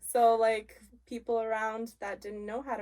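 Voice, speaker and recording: At a moderate pace, a woman with a slight Polish accent speaks in a fairly high pitch in a very clean recording with a silent background. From Poland, then Canada from age seven. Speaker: guest, mother in mixed race family. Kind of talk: interview.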